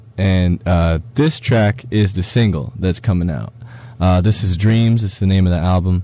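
A man speaks at a moderate pace in a very deep, low voice with a dark, mellow tone and ordinary pitch variation. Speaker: musician and producer. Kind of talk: casual interview.

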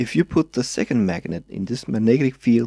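A man with a Danish accent, medium in pitch, dark and mellow in tone, at a moderate pace. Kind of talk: tutorial voice-over.

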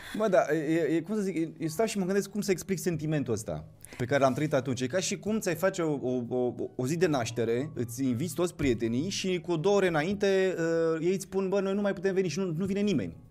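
Over faint background music, a man talks at a very fast pace in a high pitch. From Moldova, Chișinău; Moldova. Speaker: actor. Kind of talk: casual interview chat. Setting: studio. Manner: halting, many fillers. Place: studio. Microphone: studio mic.

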